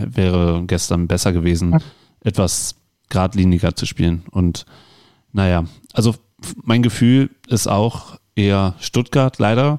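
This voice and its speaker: A man's fairly low pitch in a dark, mellow tone with ordinary pitch variation, at a very slow pace with long, frequent pauses, in a dry, close sound with no echo. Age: 40s. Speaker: podcast host. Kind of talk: casual chat.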